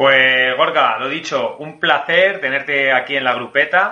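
Against noticeable background noise, a man with a Spanish accent speaks at medium pitch with ordinary pitch variation. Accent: Spain Spanish. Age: 40s. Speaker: podcast host, sports science doctor. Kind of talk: casual interview.

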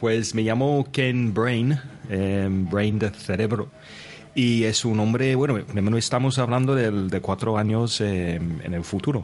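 This man talks at a very slow pace and a medium pitch. His loudness stays very even. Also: ordinary pitch variation. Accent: English. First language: English (speaking Spanish). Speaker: English teacher podcaster, guest player. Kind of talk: role-playing game.

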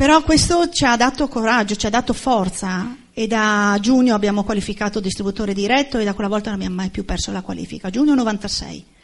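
A woman talks at a very fast pace with hardly any pauses, her fairly high, somewhat breathy voice showing ordinary pitch variation against a quiet background. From Udine, Friuli, Italy. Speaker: former police officer turned network marketing entrepreneur. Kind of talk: motivational talk to audience.

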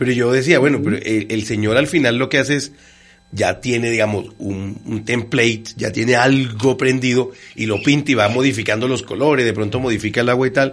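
A man with an unremarkable speaking voice talks at a medium pitch, his intonation fairly even. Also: fairly quick pace. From Bogotá, Colombia. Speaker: radio host and language teacher. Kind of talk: casual interview.

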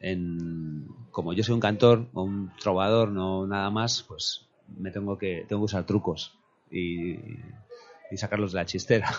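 Speaking very slowly, a man keeps a fairly low pitch and fairly even intonation. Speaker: musician. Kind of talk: casual chat.

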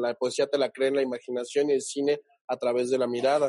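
The pitch of this man's voice is fairly high. He keeps a moderate pace. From Mexico, Oaxaca (Huatulco). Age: 30s. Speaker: actor and screenwriter. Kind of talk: interview. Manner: halting, many fillers and repeats.

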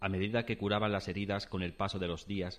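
In a very clean recording with a silent background, the voice moves at a fairly quick pace with a dramatic tone and fairly even intonation. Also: man. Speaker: dramatized story narrator (voice actor). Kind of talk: dramatized ghost story, first-person narration. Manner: tense, suspenseful, hushed then startled; dramatic, vivid, building dread.

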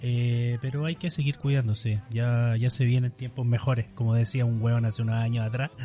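A man with a Chilean accent talks at medium pitch with hardly any pauses, his dark, mellow tone somewhat breathy and his intonation fairly even. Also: moderate pace. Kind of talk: casual chat.

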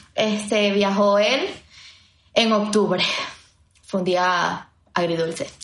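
Amid audible room echo, a woman speaks very slowly with fairly even intonation and long, frequent pauses. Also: medium pitch for a woman. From Venezuela. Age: 20s. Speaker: podcast co-host. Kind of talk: casual chat.

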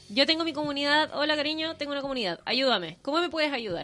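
Music plays behind a woman who speaks very fast at a high pitch. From northern Chile, Chuquicamata. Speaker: radio host. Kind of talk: casual radio chat.

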